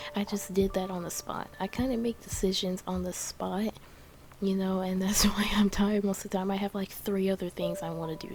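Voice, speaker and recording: Over noticeable background noise, the soft-spoken voice moves at a moderate pace. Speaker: gaming YouTuber. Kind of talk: game build voice-over. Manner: soft-spoken, talking quietly; halting, many fillers.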